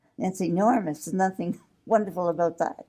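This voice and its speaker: The woman's tone is dark and mellow. Her intonation is lively. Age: 80s+. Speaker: interviewee, lay church worker. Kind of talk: interview. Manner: halting.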